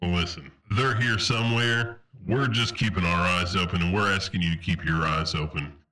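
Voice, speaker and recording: A man does a put-on character voice that is raspy and very deep, at a moderate pace. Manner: brisk, authoritative, military.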